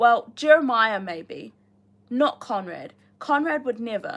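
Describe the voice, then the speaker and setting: A woman with a New Zealand accent talks at a fairly slow pace. Her pitch swings very widely on a very clean recording with a silent background. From New Zealand, Rotorua. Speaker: booktuber reading a novel aloud on a livestream. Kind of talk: reading aloud with casual chat to live viewers. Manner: casual, chatty with many fillers.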